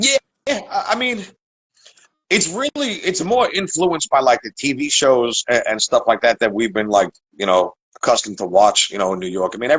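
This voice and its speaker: Pitched fairly high, a man's voice with vocal fry makes very wide pitch swings, heard in a dry, close sound with no echo. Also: moderate pace. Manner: casual, filler-heavy speech.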